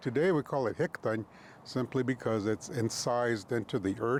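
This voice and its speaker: A man with an American accent and a medium pitch speaks at a fairly slow pace. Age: 60s. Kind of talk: oral history interview. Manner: halting, many fillers.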